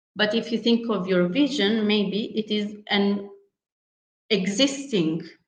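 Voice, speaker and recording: A woman's fairly high voice at a very slow pace, with ordinary pitch variation and audible room echo. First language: not English. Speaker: workshop facilitator. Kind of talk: online workshop lecture. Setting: video call. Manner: hesitant, many fillers.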